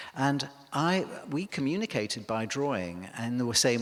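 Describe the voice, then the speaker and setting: A man is speaking. He has an English accent. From northern England, Cheshire near Liverpool. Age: 60s. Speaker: milliner. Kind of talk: public lecture. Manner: hesitant, many fillers.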